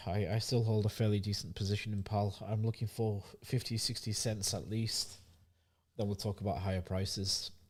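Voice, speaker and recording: Over a very clean recording with a silent background, a man with a British accent sounds somewhat breathy, speaking at a moderate pace with fairly even intonation. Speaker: crypto market analyst. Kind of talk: market review livestream. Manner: casual, conversational.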